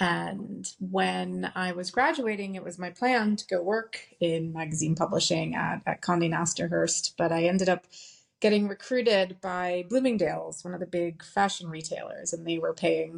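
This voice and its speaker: A normal speaking voice from a woman, fairly low in pitch, at a moderate pace. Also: ordinary pitch variation. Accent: American. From US, New York City. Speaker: company founder. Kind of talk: interview.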